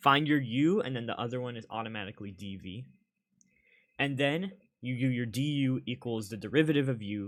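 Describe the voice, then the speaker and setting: This man has an ordinary speaking voice at medium pitch, moving at a fairly quick pace with ordinary pitch variation and big swings in loudness. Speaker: tutor. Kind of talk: tutorial.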